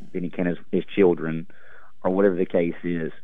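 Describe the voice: A man speaks at a low pitch with little pitch movement.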